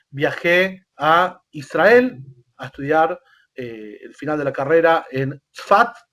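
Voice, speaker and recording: A man talks with a Rioplatense accent at a high pitch. His intonation is lively. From Argentina, Buenos Aires. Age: 40s. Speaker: rabbi. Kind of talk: interview. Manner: hesitant, many fillers.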